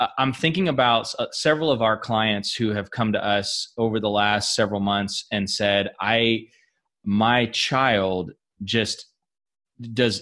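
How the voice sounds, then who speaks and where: A man with a plain, everyday voice speaks at a fairly slow pace and a fairly low pitch. His pitch variation is ordinary, and the background is quiet. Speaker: podcast host. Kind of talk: interview.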